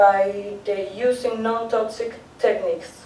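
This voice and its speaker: In a Spanish accent, a woman speaks fairly high with monotone, flat intonation. Audible room echo and noticeable background noise surround her. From Chile. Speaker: art teacher presenting research. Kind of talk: conference presentation. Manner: halting, with many fillers.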